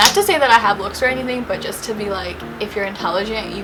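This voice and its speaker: A woman with a fairly high voice speaks at a fairly quick pace with fairly even intonation. Music plays behind her, and the room echo is audible. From New York, US (moved from Bangladesh at five). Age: 20s. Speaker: beauty YouTuber. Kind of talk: casual get-ready-with-me vlog. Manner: chatty, informal.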